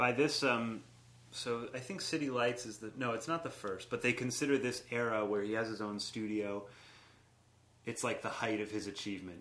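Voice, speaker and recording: At a moderate pace and medium pitch, a man speaks with ordinary pitch variation in an unremarkable speaking voice. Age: 20s. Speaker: improv comedian and performer. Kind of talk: casual chat.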